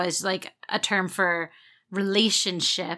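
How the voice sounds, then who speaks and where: A woman with a bright, sharp tone on a very clean recording with a silent background. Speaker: podcast co-host. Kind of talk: casual chat. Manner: fast; animated.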